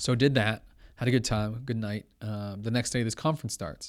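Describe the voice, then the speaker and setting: Using a plain, everyday voice, a man with a Canadian accent talks at a fairly quick pace and a medium pitch with ordinary pitch variation. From Toronto, Canada. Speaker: entrepreneur and real estate agent. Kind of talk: interview conversation. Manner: casual, many fillers.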